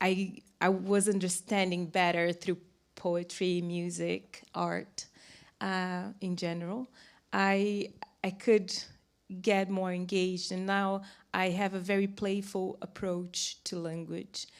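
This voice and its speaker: In a very clean recording with a silent background, a woman with a Brazilian accent talks very slowly at a medium pitch, her intonation monotone and flat. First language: Portuguese. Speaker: academic panelist. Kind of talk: panel discussion.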